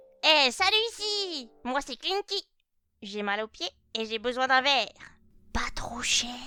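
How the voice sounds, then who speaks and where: A female-sounding put-on character voice, high-pitched and fairly slow, with long, frequent pauses and music in the background. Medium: machinima. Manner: lively, impulsive.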